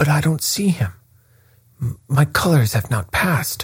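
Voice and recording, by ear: A man speaks in a put-on character voice, fairly high for a man, at a fairly slow pace, with lively intonation and a husky, rough edge.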